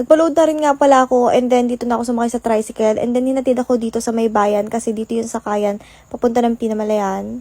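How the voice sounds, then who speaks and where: Her tone dark and mellow, a woman speaks very fast with fairly even intonation in a dry, close sound with no echo. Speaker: lifestyle vlogger. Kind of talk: vlog voiceover narration. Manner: casual, chatty.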